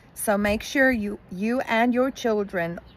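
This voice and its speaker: Against noticeable background noise, a woman speaks at a very slow pace. Her pitch is medium, with ordinary variation. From South Africa, Afrikaans-speaking. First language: Afrikaans. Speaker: YouTuber, school worker. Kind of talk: casual vlog advice. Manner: conversational, with fillers.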